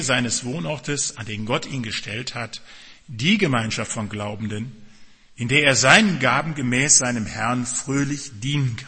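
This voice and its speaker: A man's unremarkable speaking voice at medium pitch, with ordinary pitch variation, a moderate pace and big swings in loudness. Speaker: pastor. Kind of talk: sermon. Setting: church with congregation and children present. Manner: direct, warm and earnest, addressing the congregation.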